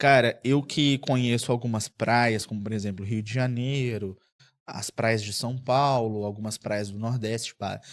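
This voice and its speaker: A man speaks at a fairly slow pace, and the recording is very clean with a silent background. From Espírito Santo, Brazil. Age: 30s. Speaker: TV journalist. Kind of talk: podcast interview. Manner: animated.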